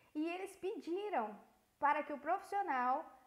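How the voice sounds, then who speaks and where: A woman's lively intonation carries her moderate-paced speech through noticeable background noise. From Brazil. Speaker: voice-over artist and voice actress. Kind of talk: interview. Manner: animated.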